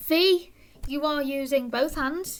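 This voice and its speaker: This is a woman's voice. Its pitch rises and falls in an ordinary way. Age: 20s. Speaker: sign language tutor. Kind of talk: tutorial. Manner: casual, self-deprecating asides.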